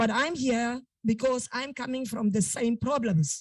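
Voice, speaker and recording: In a South African accent, a woman speaks with a dark, mellow tone. Her pitch variation is ordinary. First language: Afrikaans. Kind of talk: public testimony at meeting. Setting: virtual meeting. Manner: loud. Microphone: too quiet at first.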